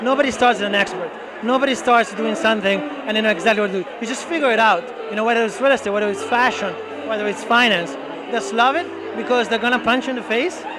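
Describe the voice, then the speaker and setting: With an Italian accent, a man speaks at a high pitch with ordinary variation, amid audible room echo and noticeable background noise. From Italy. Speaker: real estate broker. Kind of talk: interview. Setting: networking event at a bar.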